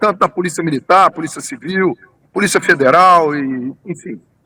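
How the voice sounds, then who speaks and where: The voice has a bright, sharp tone and ordinary pitch variation, with a dry, close sound and no echo. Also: man. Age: 60s. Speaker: tourism businessman, engineer. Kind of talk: interview. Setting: remote interview.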